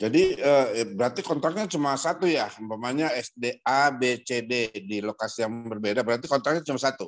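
A man's normal speaking voice at medium pitch, fairly quick with hardly any pauses, ordinary pitch variation, and a quiet background. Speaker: participant asking questions, government official. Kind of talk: casual question and discussion. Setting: video call. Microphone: video call.

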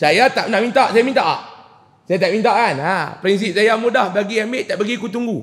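In a Kedah accent, a man speaks in a high voice with ordinary pitch variation. His pace is fairly quick, and the background is quiet. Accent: northern Malay (Kedah) dialect. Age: 30s. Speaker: preacher. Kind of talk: religious lecture. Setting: mosque with audience. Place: church. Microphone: headset.

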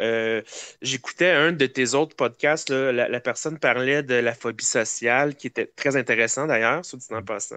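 This man has a Quebec accent, a medium pitch, ordinary pitch variation and a bright, sharp tone, speaking at a moderate pace. The sound is dry and close with no echo, over a quiet background. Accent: Québécois French. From Quebec, Eastern Townships (Cowansville). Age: 30s. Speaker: podcast guest. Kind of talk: casual chat. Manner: hesitant, many fillers.

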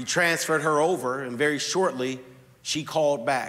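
A man's fairly even intonation holds through his moderate pace. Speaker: pastor. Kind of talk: sermon. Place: church. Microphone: lapel.

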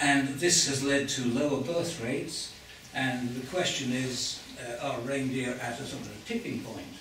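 Light background noise and audible room echo surround the recording. A man speaks at a moderate pace. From England. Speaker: glaciologist giving a public lecture. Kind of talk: lecture. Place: hall.

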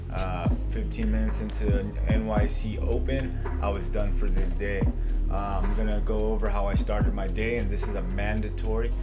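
Moderate pace over loud music in the background. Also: man. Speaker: day trader. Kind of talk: trade recap screen-share commentary. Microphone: webcam.

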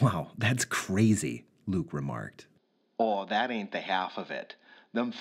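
The pitch shifts in an ordinary way as a natural reading voice goes on.

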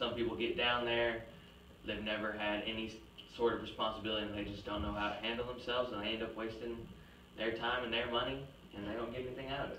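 Amid light background noise and audible room echo, a man talks at a very fast pace with monotone, flat intonation. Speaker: presenter. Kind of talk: class presentation argument. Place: classroom. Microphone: camera far.

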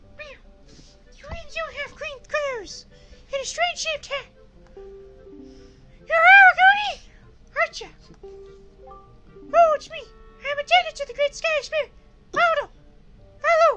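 A put-on character voice at an extremely high pitch, fairly slow, with long, frequent pauses. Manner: strained put-on voice.

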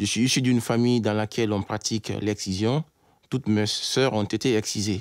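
A man speaks at a moderate pace in a monotone, flat way. The sound is dry with no echo, over a quiet background. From Guinea, Conakry. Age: 30s. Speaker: engineer and anti-FGM campaigner. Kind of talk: testimony. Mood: serious, earnest. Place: studio.

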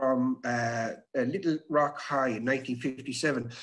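A man speaks with ordinary pitch variation against a quiet background. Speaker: webinar presenter. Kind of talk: lecture. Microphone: webcam.

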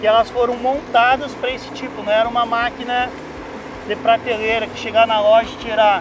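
With music in the background, a man talks at a fairly quick pace in an extremely high pitch. His intonation is monotone and flat, the sound dry with no echo. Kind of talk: interview answer. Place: forest.

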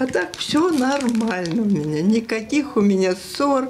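With light background noise behind her, a woman speaks at a very slow pace. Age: 80s+. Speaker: retired teacher of the deaf. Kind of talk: interview answer. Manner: lively, cheerful. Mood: cheerful, lively storytelling. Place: home room.

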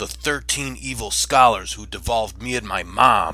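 A man puts on a raspy character voice. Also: moderate pace.

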